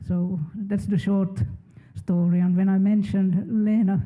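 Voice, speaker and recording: Someone with a Swedish accent speaks at a fairly slow pace. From Finland. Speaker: research funding program manager. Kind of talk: panel discussion.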